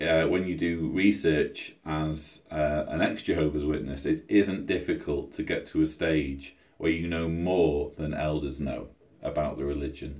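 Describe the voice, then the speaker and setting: A man talks at a fairly slow pace with a very deep, low pitch. His intonation is fairly even, with vocal fry. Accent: British. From Britain. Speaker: YouTuber, ex-Jehovah's Witness author. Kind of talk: livestream Q&A. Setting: at home, livestream. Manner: halting; quieter than usual.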